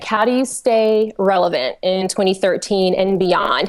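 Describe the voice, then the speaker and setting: Speaking with a strong Southern US accent, a woman holds a medium pitch and fairly even intonation. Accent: Southern twang, fairly strong. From US South, Georgia. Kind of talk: casual chat. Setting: live webcast.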